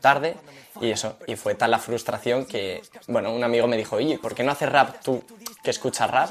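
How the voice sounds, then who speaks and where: A man with a plain, everyday voice talks at a fairly quick pace and medium pitch, his intonation fairly even. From Madrid, Spain. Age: 20s. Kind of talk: interview testimony.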